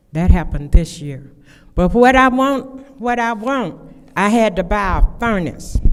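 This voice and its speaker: A fairly high-pitched woman speaking at a fairly slow pace, with very wide pitch swings, big swings in loudness and audible room echo. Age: 70s. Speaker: public commenter. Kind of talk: public comment at council meeting. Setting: city council meeting. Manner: halting.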